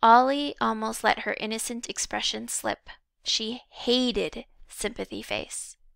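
What you hear is plain reading aloud.

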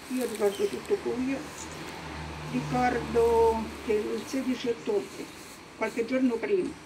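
The speaker goes at a moderate pace with ordinary pitch variation. Noticeable background noise can be heard. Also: woman. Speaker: witness. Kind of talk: personal testimony speech. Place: street.

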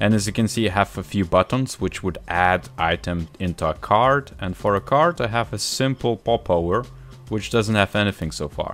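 Faint music plays in the background. A man talks at a fairly low pitch. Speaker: software tutorial host. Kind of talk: tutorial.

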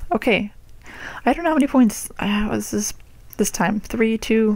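Quiet speech with ordinary pitch variation comes through in a dry sound with no echo. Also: woman. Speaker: card collector. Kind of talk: casual talk to camera, card pack opening. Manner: quiet, hushed. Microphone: phone near.

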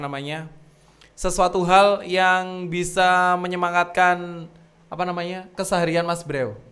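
Speaking at a fairly slow pace, a man has a high-pitched voice with a bright, sharp tone. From East Java, Indonesia. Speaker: podcast host. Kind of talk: casual chat. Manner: animated. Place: studio. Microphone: studio mic.

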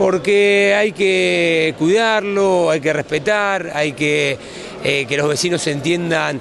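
Noticeable background noise sits behind a man's voice. There is no echo, and the sound stays dry. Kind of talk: interview answer. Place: garage.

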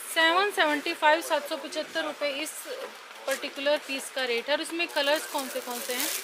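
Over noticeable background noise, a woman uses a raised, projected voice at a fairly slow pace with fairly even intonation. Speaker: shopping vlogger. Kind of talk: product showcase commentary. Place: shop. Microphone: phone near.

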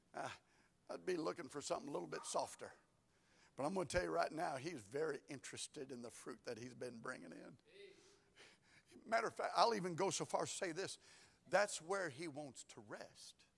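A man speaks with a Southern US accent. His loudness swings widely. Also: moderate pace. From US South. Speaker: pastor. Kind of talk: sermon. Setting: church. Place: church. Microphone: lapel.

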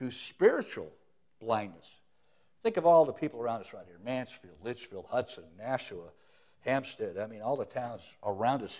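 A man's dark, mellow voice at a fairly quick pace with lively intonation, over a quiet background. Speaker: preacher. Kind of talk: sermon. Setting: church. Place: church.

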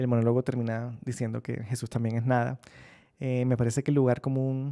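Against a quiet background, a man speaks with a dark, mellow tone. His intonation is monotone and flat. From Colombian Caribbean coast, Barranquilla; Colombian Caribbean coast. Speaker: novelist; interviewee. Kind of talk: interview answers. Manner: reflective, with hesitations. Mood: relaxed, smiling, reflective. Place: studio.

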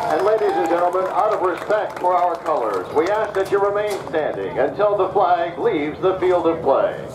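At a moderate pace, a man speaks with fairly even intonation over noticeable background noise. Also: hardly any pauses. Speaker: high school football PA announcer. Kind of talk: stadium pregame announcement. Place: stadium.

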